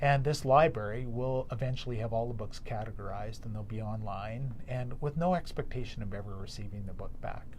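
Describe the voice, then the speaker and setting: A man with a Canadian accent talks at a fairly quick pace with hardly any pauses. His voice comes across somewhat breathy. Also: medium pitch for a man, ordinary pitch variation. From Alberta, Canada (Calgary, Edmonton). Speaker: yoga community organizer. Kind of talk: casual interview chat.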